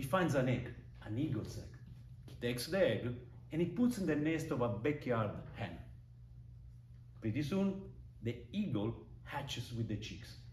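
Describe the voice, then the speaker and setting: With a strong non-native accent, a man at medium pitch speaks at a moderate pace with lively intonation and long, frequent pauses, and room echo is audible. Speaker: public speaking club member. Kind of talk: prepared speech.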